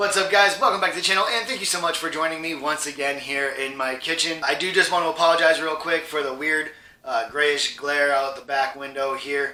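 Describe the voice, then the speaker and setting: Over noticeable background noise, a man with a fairly high pitch talks at a fairly quick pace with hardly any pauses and ordinary pitch variation. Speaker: cooking youtuber. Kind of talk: cooking tutorial. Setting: home kitchen. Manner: casual, conversational; loud over sizzle.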